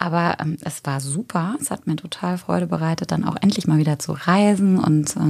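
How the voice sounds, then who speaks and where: The pitch varies in an ordinary way. Noticeable background noise is present. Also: woman. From Germany, Eifel region. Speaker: yoga teacher. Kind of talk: casual chat.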